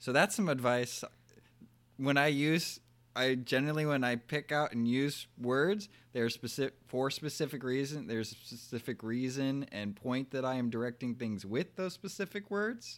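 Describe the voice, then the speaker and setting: Over a silent background in a very clean recording, a man with a medium pitch speaks at a moderate pace with lively intonation. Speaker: bonus guest. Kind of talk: casual chat. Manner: calm.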